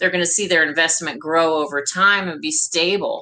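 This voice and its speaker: The speaker has a normal speaking voice with an American accent. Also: woman. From US West Coast, Anaheim, California. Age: 50s. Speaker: company president. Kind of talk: interview.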